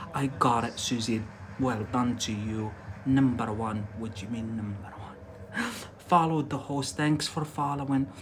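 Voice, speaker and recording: Audible room echo and noticeable background noise around fairly slow talk with ordinary pitch variation. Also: man, medium pitch for a man. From Algeria. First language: Arabic. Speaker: English teacher. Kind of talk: live-stream language lesson. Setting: live stream. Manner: animated, repetitive.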